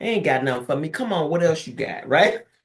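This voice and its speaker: Very wide pitch swings run through a woman's voice that also carries vocal fry. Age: 60s. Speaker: therapist and professor. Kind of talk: interview.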